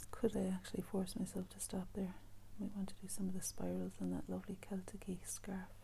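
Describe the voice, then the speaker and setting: Here a woman talks at a fairly quick pace. She is soft-spoken. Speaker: artist and art teacher. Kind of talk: painting tutorial. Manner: casual, musing.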